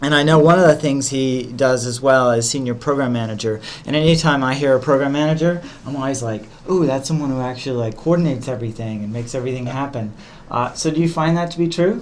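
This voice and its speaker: Through audible room echo and noticeable background noise, a man with an American accent talks at a very fast pace, his medium pitch showing ordinary variation. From US South. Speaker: podcast host, interviewer. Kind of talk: interview. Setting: innovation center room.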